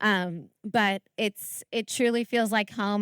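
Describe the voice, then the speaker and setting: A woman's medium-pitched, an ordinary speaking voice in an American accent, with ordinary pitch variation, a dry, close sound with no echo, and a very clean recording with a silent background. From United States. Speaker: elite trail runner. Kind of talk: panel discussion.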